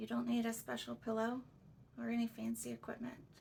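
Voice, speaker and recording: A woman speaks with a very deep, low pitch and very wide pitch swings. Her voice is somewhat breathy, with a calm tone. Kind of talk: book read aloud. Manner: calm, relaxing.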